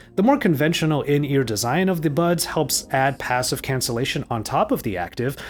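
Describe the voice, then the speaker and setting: A man talks very fast in a fairly high pitch. Music plays in the background. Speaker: tech reviewer. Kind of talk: product review.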